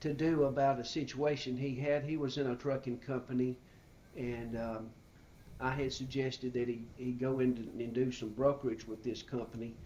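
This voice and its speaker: In an Alabama accent, a man speaks at a moderate pace with a medium pitch, a dark, mellow tone and monotone, flat intonation. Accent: Southern US (Alabama). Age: 60s. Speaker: retired business owner. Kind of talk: interview. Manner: halting, many fillers.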